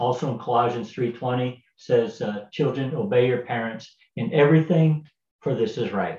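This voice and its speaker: Talking fairly slowly, a man has a somewhat breathy sound. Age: 60s. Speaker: pastor. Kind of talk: devotional talk. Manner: halting, many fillers.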